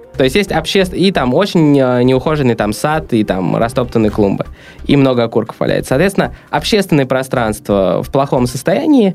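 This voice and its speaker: Against noticeable background noise, a man of medium pitch speaks at a moderate pace with very wide pitch swings. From Russia, St Petersburg. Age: 20s. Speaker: entrepreneur, coworking founder. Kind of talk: interview. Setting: studio.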